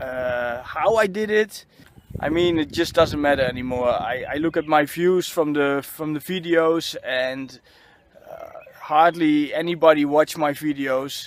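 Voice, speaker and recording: A man's high voice with a Dutch accent, ordinary pitch variation and a fairly slow pace, amid noticeable background noise. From Netherlands. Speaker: spiritual vlogger. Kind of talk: personal vlog monologue. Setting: outdoors on a football field. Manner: halting, many fillers and repetitions.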